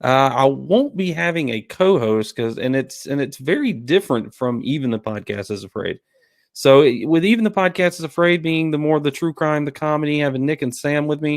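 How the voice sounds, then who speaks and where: A man's fairly high voice with a Southern US accent, lively intonation and a fairly quick pace. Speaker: podcast host. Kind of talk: casual chat.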